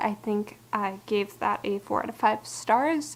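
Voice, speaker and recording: A woman's fairly high-pitched voice comes through noticeable background noise. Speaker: book vlogger. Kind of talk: casual book review monologue. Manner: fast; halting.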